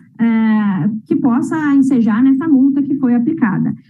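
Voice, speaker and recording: A woman's high-pitched voice with lively intonation at a moderate pace, with audible room echo. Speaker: lawyer. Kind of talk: oral argument at administrative hearing. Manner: formal.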